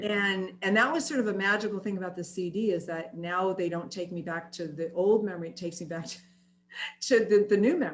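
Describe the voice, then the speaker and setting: A woman talks at a fairly quick pace and medium pitch. Her loudness swings a lot. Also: ordinary pitch variation. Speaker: singer, chronic pain advocate, interview guest. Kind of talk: interview answer. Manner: warm, cheerful, with a lilt.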